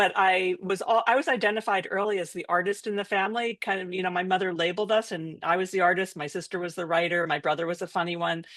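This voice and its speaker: Against a quiet background, someone talks at a very fast pace in a New York accent, with hardly any pauses. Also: woman, medium pitch for a woman, fairly even intonation. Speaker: artist, author and business coach. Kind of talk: podcast interview.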